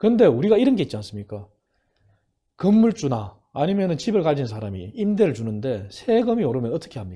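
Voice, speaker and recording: A man's fairly quick, somewhat breathy speech with a dark, mellow tone, fairly high pitch, very wide pitch swings and big swings in loudness, on a very clean recording with a silent background. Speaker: former think tank head, professor. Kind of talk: political talk show interview.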